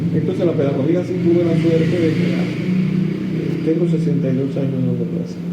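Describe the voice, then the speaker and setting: Here a man talks at a moderate pace with hardly any pauses, using a fairly high pitch and monotone, flat intonation. Noticeable background noise and audible room echo fill the recording. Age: 70s. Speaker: composer and music teacher. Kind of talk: interview. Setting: at home. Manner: halting. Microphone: poor audio.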